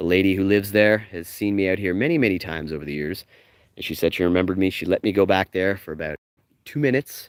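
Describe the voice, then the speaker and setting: Very deep and low, a man's voice moves at a very fast pace with ordinary pitch variation, sounding dry and close with no echo on a very clean recording with a silent background. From Canada. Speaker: live-streaming travel vlogger and tour guide. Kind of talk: live-streamed walking tour. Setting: outdoors walking along a street. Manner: animated.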